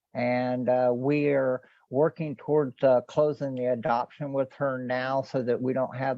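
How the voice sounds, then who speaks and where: Speaking at a fairly slow pace, a man keeps a medium pitch with monotone, flat intonation. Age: 50s. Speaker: online newspaper creator and radio play maker. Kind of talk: interview. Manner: halting.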